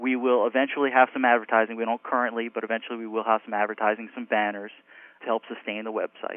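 A man with an American accent talks at a very fast pace. His medium-pitched voice has monotone, flat intonation. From New York / New Jersey area. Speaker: cardiologist. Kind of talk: interview.

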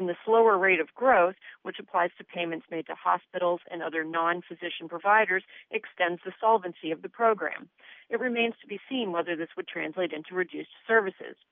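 A woman's unremarkable speaking voice, medium in pitch, at a fairly quick pace with ordinary pitch variation. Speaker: journalist. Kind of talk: scripted report.

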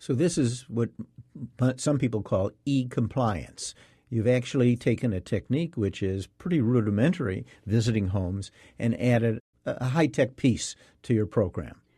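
A man's somewhat breathy voice with a dark, mellow tone, medium pitch and ordinary pitch variation, at a moderate pace against a quiet background. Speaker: radio host and physician. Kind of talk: interview.

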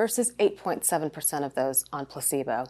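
Here is a woman with an ordinary speaking voice. Her intonation is lively and her pace fairly quick. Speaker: pulmonologist presenter. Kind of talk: medical lecture presentation.

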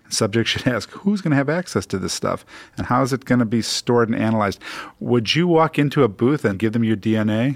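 A man with a plain, everyday voice speaks at a fairly quick pace, medium in pitch and lively in intonation. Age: 60s. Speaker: radio host and physician. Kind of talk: radio talk show.

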